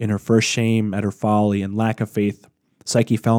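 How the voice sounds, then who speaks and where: A man with a dark, mellow tone and fairly low pitch speaks fairly quickly in a monotone, flat intonation, with a dry, close sound and no echo. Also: very clean recording, silent background. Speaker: podcast host narrator. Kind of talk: dramatic storytelling narration, reading a myth aloud. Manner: expressive, theatrical, measured pacing.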